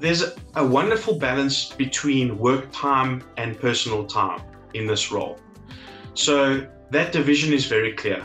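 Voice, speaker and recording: Faint music sits in the background as a man speaks with ordinary pitch variation. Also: medium pitch for a man. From South Africa. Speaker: legal assistant. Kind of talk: interview answer. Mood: positive, appreciative. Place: home room. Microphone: webcam.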